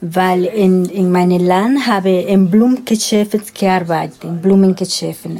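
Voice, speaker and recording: A woman speaks with a Spanish accent at a medium pitch and a fairly slow pace. Her pitch variation is ordinary, and there is noticeable background noise. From Dominican Republic. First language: Spanish (speaking German). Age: 50s. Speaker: former sex worker, witness. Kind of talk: interview. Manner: halting.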